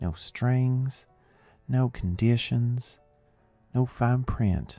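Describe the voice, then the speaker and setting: With a Southern US accent, a soft-spoken man talks in a gentle tone at medium pitch while music plays in the background. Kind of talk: ASMR affirmation audio. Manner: soft-spoken, gentle.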